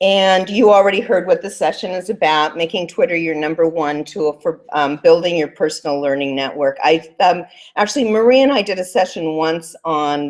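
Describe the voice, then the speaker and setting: A woman speaks at a moderate pace and a fairly low pitch, with ordinary pitch variation. She has a plain, everyday voice. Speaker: teacher librarian presenter. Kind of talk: conference presentation. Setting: conference room with audience.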